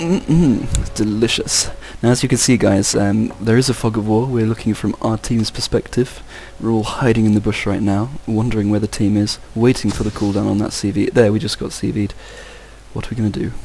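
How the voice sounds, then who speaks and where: Here a man with an English accent talks at a fairly quick pace, fairly low in pitch with fairly even intonation, amid noticeable background noise. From England. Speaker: game commentator. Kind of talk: live commentary.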